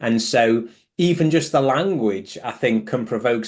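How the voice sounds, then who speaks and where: In a British accent, a man speaks at a medium pitch with ordinary pitch variation. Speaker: clinical psychologist. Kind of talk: online group discussion.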